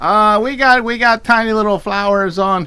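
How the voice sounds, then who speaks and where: A man speaks in a raised, projected voice that is high-pitched, with a bright, sharp tone. His pace is fairly slow. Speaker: online fabric shop host. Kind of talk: live sales show. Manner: casual, halting with fillers.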